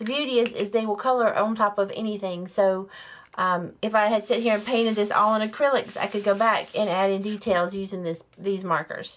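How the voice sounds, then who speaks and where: A woman with a Southern US accent, medium-pitched, at a fairly quick pace with fairly even intonation. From US South. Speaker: art instructor. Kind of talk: tutorial. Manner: casual, hesitant with fillers.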